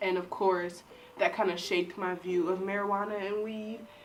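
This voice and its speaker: With music playing in the background, a woman speaks with ordinary pitch variation. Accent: American. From Michigan, Detroit. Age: 20s. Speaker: YouTuber, psychology student. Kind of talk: casual storytelling to camera. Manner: animated.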